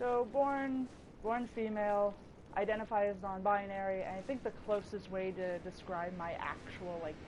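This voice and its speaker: Against noticeable background noise and audible room echo, a woman talks at a moderate pace and a medium pitch. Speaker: streamer. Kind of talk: casual gameplay livestream ramble. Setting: livestream while gaming. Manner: animated.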